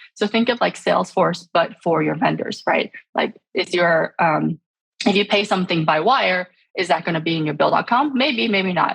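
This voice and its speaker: Vocal fry runs through this woman's medium-pitched voice, which has lively intonation. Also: moderate pace. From born in Shanghai, raised speaking Chinese at home. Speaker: startup founder and CEO. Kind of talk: podcast interview. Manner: many fillers and false starts.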